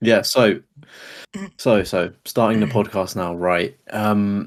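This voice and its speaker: Over a very clean recording with a silent background, a man with a fairly low pitch speaks at a very slow pace with fairly even intonation. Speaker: gaming podcast co-host. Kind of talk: casual chat. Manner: stuttering at times.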